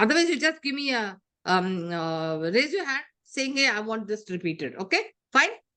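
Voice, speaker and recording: A woman's fairly high, bright, sharp voice with very wide pitch swings. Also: moderate pace. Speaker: compensation trainer. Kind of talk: online lecture. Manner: hesitant with fillers.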